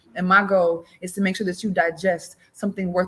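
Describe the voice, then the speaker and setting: At a medium pitch, a woman sounds somewhat breathy, her intonation monotone and flat. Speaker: spoken word poet. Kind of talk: guided breathing exercise; improvised spoken-word poetry.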